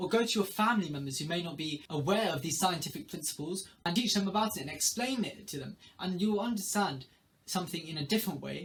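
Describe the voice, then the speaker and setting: Amid noticeable background noise, a man talks very fast at a high pitch with ordinary pitch variation. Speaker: student giving study tips. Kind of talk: tutorial.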